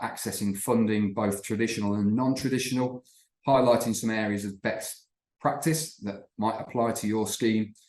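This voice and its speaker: A man with a plain, everyday voice speaks at a moderate pace, his fairly low pitch held in fairly even intonation. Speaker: company representative presenting webinar. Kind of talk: webinar presentation. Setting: online webinar.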